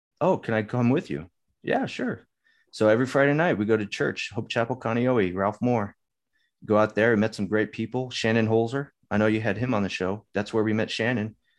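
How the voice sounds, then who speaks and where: A man with an American accent has a normal speaking voice, a medium pitch and ordinary pitch variation, heard against a quiet background. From Southern California. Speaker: navy veteran and business owner. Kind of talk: casual interview.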